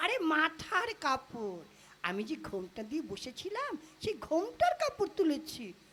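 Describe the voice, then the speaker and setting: A man does a cartoonish character voice pitched extremely high. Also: fairly slow pace. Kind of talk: comic puppet play dialogue. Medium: puppet.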